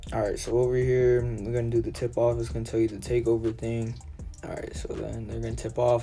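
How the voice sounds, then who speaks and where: Music plays in the background, and room echo is audible. A man speaks at a fairly quick pace. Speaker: gaming youtuber. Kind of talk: gameplay tutorial. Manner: fast; casual.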